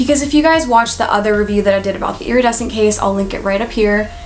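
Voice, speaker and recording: Noticeable background noise and audible room echo surround a woman whose fairly high voice carries lively intonation and an animated tone. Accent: American. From California. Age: 20s. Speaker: lifestyle YouTuber. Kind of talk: product review vlog.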